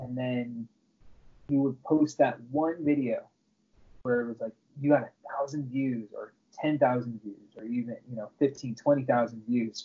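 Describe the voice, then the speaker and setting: A man with an American accent talks at a fairly slow pace, with long, frequent pauses and a medium pitch. His intonation stays fairly even while his loudness swings widely. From Southern California. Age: 30s. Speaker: YouTube creator and loan processor. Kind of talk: casual interview. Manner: halting, many fillers.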